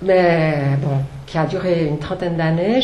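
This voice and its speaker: A woman with a Swiss accent, amid noticeable background noise and audible room echo. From Switzerland. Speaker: author, former journalist. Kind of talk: book talk at a public event. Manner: hesitant, many fillers.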